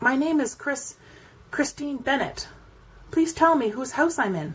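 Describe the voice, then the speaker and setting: Putting on a character voice, this woman keeps a moderate speed at a high pitch. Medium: read story.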